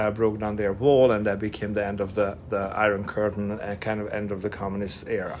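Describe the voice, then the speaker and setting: Noticeable background noise sits behind a man with a Hungarian accent and a fairly low pitch. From Hungary, Budapest. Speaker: production designer and former model. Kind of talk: casual interview chat. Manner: halting.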